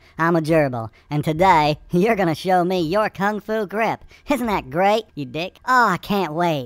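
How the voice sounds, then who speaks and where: At a moderate pace and middle pitch, a cartoonish character voice comes through a very clean recording with a silent background. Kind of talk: comic overacting. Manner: mocking, crude, taunting.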